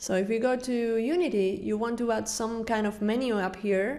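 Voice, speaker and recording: With a non-native accent, a woman speaks fairly slowly in a fairly high pitch with ordinary pitch variation. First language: not English. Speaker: game developer. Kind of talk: tutorial. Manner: halting.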